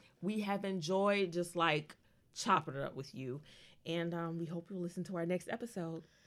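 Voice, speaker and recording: A woman with an unremarkable speaking voice, fairly low pitch, ordinary pitch variation and moderate pace, in a very clean recording with a silent background. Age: 30s. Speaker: podcast co-host. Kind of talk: casual chat.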